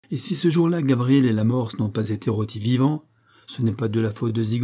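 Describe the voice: The clip is a plain reading aloud with ordinary pitch variation.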